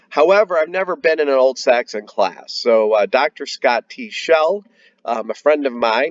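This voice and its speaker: Speaking fairly slowly, a man with an American accent has a fairly high pitch. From United States. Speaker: heathen religion educator. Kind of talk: educational talk. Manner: casual, with fillers.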